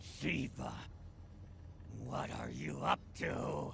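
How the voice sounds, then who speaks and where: A put-on character voice is heard over loud background noise. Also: man. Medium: video game.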